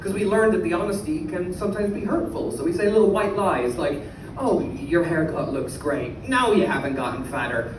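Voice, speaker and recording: Very wide pitch swings and a fairly quick pace in an Irish accent, with audible room echo and noticeable background noise. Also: man, high pitch for a man. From Ireland. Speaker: comedian. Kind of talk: stand-up. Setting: stage with audience.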